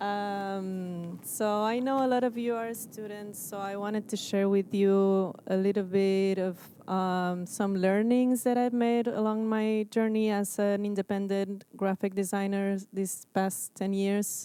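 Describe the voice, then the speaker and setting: At a fairly slow pace with hardly any pauses, a woman speaks in a dark, mellow tone at a medium pitch, with an Argentine accent and flat, monotone intonation. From Argentina. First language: Spanish. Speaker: graphic designer. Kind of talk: presentation talk. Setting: stage with audience.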